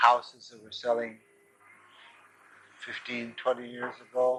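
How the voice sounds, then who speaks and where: Noticeable background noise sits behind a fairly slow, flat monotone delivered in a Pacific Northwest accent. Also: man. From Seattle, Rainier Valley. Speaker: bakery owner. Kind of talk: oral history interview. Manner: halting.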